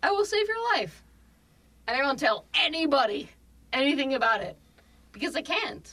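At a moderate pace, a raised, projected voice with a bright, sharp tone swings very widely in pitch and breaks into long, frequent pauses. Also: woman. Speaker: emergency medicine physician. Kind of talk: casual chat.

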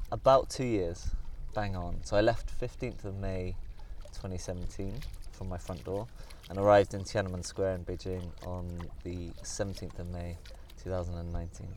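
In a room with audible echo, a man talks in a very deep, low-pitched voice. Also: ordinary pitch variation, fairly slow pace. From Somerset, England. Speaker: long-distance cyclist. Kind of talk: casual interview. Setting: outdoors by a reservoir.

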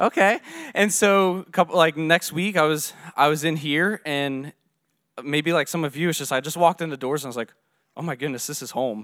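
In an unremarkable speaking voice with an American accent, a man talks at a fairly quick pace, his pitch fairly high with ordinary variation, on a very clean recording with a silent background. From Virginia, US. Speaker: church plant leader. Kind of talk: testimony.

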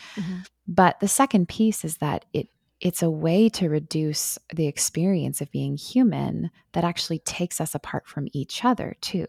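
Soft-spoken and fairly low in pitch, a woman talks at a moderate pace with ordinary pitch variation. The sound is dry and close, with no echo. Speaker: author. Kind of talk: interview.

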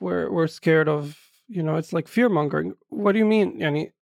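On a very clean recording with a silent background, a man with an Arabic accent speaks at a fairly quick pace, using a high pitch with ordinary variation. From East Jerusalem, Palestine. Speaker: writer and poet. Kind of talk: interview. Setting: studio. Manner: poetic phrasing.

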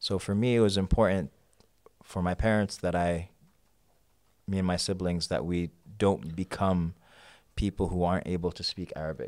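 With a New York accent, a man with a very deep, low pitch and fairly even intonation speaks at a moderate pace with long, frequent pauses on a very clean recording with a silent background. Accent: New York American. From New York (Queens). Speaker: poet. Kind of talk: casual chat.

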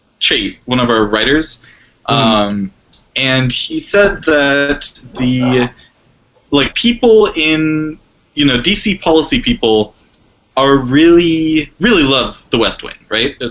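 At a very slow pace, a man with an American accent speaks with very wide pitch swings and big swings in loudness. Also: fairly high pitch for a man. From New York. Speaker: panelist. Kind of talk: casual panel discussion on politics.

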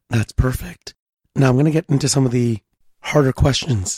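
Recorded with a dry, close sound and no echo, a somewhat breathy man speaks at a medium pitch with a dark, mellow tone and ordinary pitch variation. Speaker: podcast host. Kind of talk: interview.

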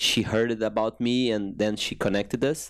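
A man with a Brazilian Portuguese accent, fairly low in pitch, at a moderate pace. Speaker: fitness coach. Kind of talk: interview. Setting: studio. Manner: halting.

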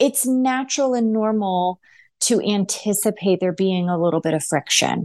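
With an American accent and an unremarkable speaking voice, a woman speaks at a moderate pace and medium pitch with lively intonation over a quiet background. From United States. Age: 40s. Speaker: nurse and podcast host. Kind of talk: solo commentary monologue.

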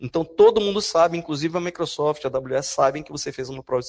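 Somewhat breathy and very fast, the voice comes through dry and close with no echo. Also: man. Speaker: university professor. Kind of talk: lecture. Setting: stage with audience. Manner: animated.

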